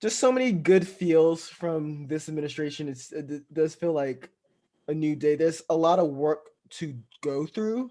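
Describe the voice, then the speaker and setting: At a fairly slow pace, a man speaks with a dark, mellow tone, a fairly high pitch and ordinary pitch variation. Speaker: podcast co-host. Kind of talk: casual chat.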